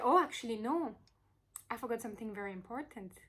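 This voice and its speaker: A woman uses a raised, projected voice. Her tone is animated and her intonation lively. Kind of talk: crystal presentation video. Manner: animated, hesitant with fillers.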